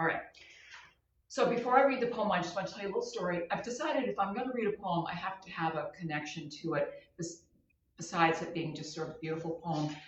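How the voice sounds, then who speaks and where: A woman with a fairly low pitch speaks at a very fast pace with lively intonation and big swings in loudness, with audible room echo. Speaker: comedian hosting a live show. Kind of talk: casual live-stream monologue. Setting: live stream. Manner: halting, self-correcting.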